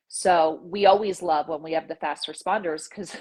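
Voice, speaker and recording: A woman with a normal speaking voice talks at a moderate pace with ordinary pitch variation. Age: 40s. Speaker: nurse practitioner. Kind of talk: casual interview chat.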